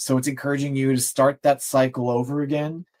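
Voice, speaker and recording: A man speaks fairly quickly with fairly even intonation and a plain, everyday voice. The sound is dry and close, with no echo. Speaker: tarot reader. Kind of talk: tarot reading on livestream.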